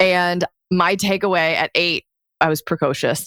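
With a Midwestern American accent, a woman speaks on a very clean recording with a silent background, the sound dry and close with no echo. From US Midwest, Detroit area. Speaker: life coach for lawyers, former attorney. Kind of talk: interview conversation.

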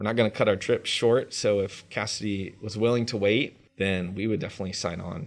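A man with an American accent uses a plain, everyday voice at a fairly low pitch and a moderate pace. His intonation is fairly even, and the background is quiet. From North Carolina, Raleigh-Durham area. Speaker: chef. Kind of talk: interview.

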